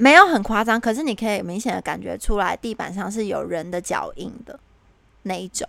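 Speaking with a Taiwanese accent, a woman talks at a fairly quick pace with big swings in loudness. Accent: Taiwanese Mandarin. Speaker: podcast co-host. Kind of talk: casual chat. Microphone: new headset that disturbs her speaking.

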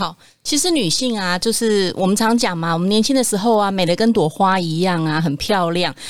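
An ordinary speaking voice from a woman, fairly quick and lively in intonation. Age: 40s. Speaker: nutrition product developer, former nurse. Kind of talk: casual chat.

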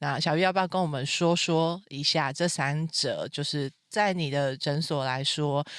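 Delivered at a fairly slow pace in an animated tone, the recording is very clean with a silent background. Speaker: podcast host. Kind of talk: casual interview chat. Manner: animated, loud laughter.

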